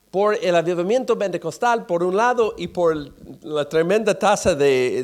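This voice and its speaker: Speaking at a fairly slow pace, a man with a high pitch swings his pitch very widely. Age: 60s. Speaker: pastor. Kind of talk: sermon. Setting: church. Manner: halting.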